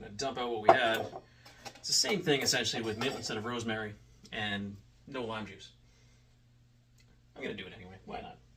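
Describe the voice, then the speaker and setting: Amid noticeable background noise and audible room echo, a man speaks at a very fast pace with long, frequent pauses. His medium pitch shows ordinary variation, and his loudness swings widely. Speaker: home bartender YouTuber. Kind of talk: casual drink-making tutorial. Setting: home bar in front of whiskey shelf. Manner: animated.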